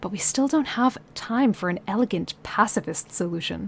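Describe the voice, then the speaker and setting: Somewhat breathy and medium in pitch, a woman speaks with lively intonation. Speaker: streamer. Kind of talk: reading aloud; casual chat. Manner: halting.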